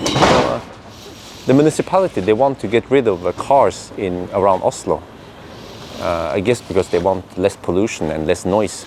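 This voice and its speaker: A man speaks at a fairly low pitch with lively intonation. Noticeable background noise is present. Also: moderate pace. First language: Norwegian. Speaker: EV video creator. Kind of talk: casual vlog commentary. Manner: halting, many fillers.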